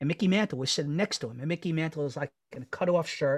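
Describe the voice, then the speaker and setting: With a New York accent, a man talks at a very fast pace and a fairly high pitch, his intonation fairly even and the sound dry and close with no echo. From New York City, Queens (Astoria). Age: 40s. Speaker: podcast co-host. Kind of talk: casual chat.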